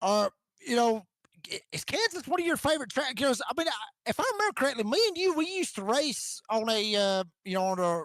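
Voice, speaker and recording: Recorded with a dry, close sound and no echo, a man with an extremely high pitch speaks at a fairly quick pace with very wide pitch swings. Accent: Georgia. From US South, northwest Georgia (Rome). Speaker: sim racing broadcaster, post-race interviewer. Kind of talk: post-race interviews. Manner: casual, halting.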